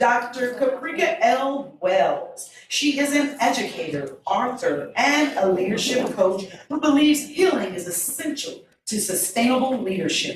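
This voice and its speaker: Loud and high-pitched, a woman speaks at a fairly slow pace with very wide pitch swings and audible room echo. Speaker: event MC and local educator. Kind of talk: event hosting and speaker introductions.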